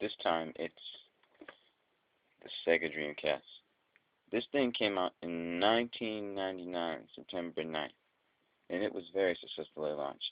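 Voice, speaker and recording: The man's very deep, low voice moves at a moderate pace with ordinary pitch variation. Long, frequent pauses break up his speech. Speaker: video game reviewer. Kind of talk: casual product review to camera. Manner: stuttering.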